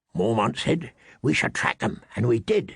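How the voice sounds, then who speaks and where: A man puts on a raspy character voice at a medium pitch. He speaks at a moderate pace in a dry, close sound with no echo. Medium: read story. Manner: blunt, rough-spoken.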